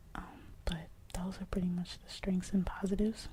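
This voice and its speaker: Someone is whispering. The pace is moderate. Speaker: ASMR creator. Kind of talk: ASMR whispered explainer. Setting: home recording, USB mic. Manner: whispered.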